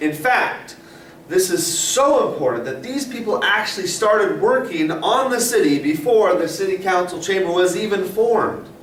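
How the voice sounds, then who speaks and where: A high-pitched man's voice with lively intonation, some audible room echo, and noticeable background noise. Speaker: science teacher. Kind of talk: tutorial. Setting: classroom with interactive whiteboard. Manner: fast.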